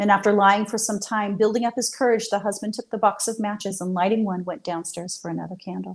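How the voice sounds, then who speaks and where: A woman's plain, everyday voice at medium pitch, moderate pace and fairly even intonation. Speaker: storyteller. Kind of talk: horror story reading.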